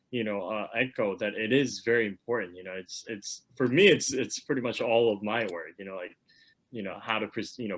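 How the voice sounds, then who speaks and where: This man talks at a fairly quick pace with a Korean accent, his fairly low pitch showing ordinary variation and big swings in loudness. The recording is very clean, with a silent background. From South Korea. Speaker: webinar moderator, lawyer. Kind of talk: panel discussion. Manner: halting, many fillers and repetitions.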